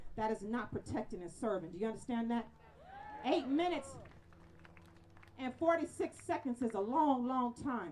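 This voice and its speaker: A loud woman with a high pitch talks at a moderate pace, with an animated tone and lively intonation. She leaves long, frequent pauses, and noticeable background noise can be heard. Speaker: rally speaker. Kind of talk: protest speech. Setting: outdoor rally with crowd.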